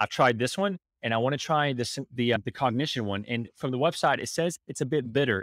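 A man with an American accent and a medium pitch talks at a very fast pace with ordinary pitch variation. The sound is dry with no echo, over a quiet background. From United States. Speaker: podcast host. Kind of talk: interview. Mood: friendly, curious. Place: home room. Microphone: studio mic.

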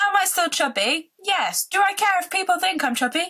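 A woman's raised, projected voice in an animated tone, with a northern English accent, over a quiet background. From northern England. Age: 20s. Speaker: vlogger. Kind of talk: casual vlog. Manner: rambling, animated. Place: home room. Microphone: phone near.

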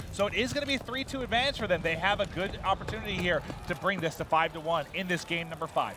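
A man's high voice at a very fast pace, lively in intonation, over noticeable background noise. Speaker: esports commentator. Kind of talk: live esports commentary, play-by-play and analysis with jokes. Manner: animated, quick, bantering.

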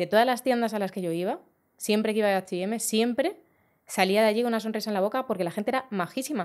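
A woman's fairly high voice at a very fast pace, with ordinary pitch variation, against a quiet background. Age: 40s. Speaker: fashion designer; podcast guest. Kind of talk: casual chat. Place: studio. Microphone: studio mic.

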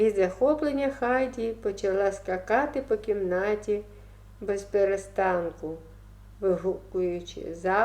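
Unforced reading, in voice

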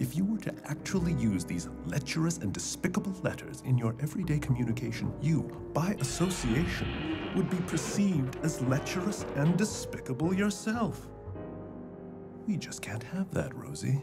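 A man's fairly high voice over loud background music. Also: moderate pace. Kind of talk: satirical fantasy drama. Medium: short film. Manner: smooth, patronizing, pompous.

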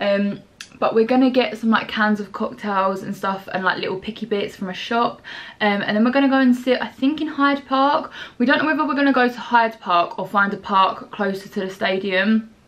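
Speaking at a fairly quick pace, a woman shows ordinary pitch variation. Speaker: vlogger. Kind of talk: casual vlog chat. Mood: excited, chatty. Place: home room. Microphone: phone near.

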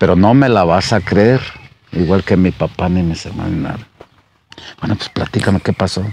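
Very deep and low, a man's voice moves at a moderate pace with ordinary pitch variation and long, frequent pauses, in a dry sound with no echo over light background noise. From Jalisco, Mexico (Capilla de Guadalupe); Jalisco, Mexico. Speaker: former local official and musician; storyteller. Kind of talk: storytelling. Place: garden. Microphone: lapel.

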